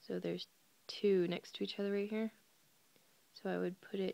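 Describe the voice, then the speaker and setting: A woman talks in a soft-spoken way. The sound is dry and close, with no echo. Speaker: crochet tutorial video maker. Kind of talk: tutorial. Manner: hesitant, many fillers.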